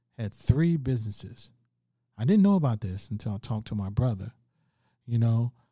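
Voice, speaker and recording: A man speaks at a medium pitch with a somewhat breathy, dark and mellow tone, recorded very cleanly against a silent background. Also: long, frequent pauses. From St. Louis, Missouri. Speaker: internet radio host. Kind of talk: casual interview chat.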